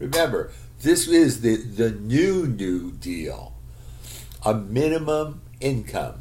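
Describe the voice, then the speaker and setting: Very slow speech from a male speaker in an American accent, room echo clearly audible. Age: 60s. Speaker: vlogger. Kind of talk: casual monologue. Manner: halting.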